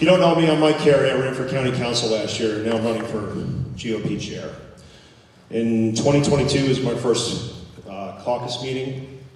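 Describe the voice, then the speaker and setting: An American accent at a moderate pace with ordinary pitch variation, amid audible room echo and noticeable background noise. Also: man, medium pitch for a man. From US East Coast. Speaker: political candidate. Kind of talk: campaign speech.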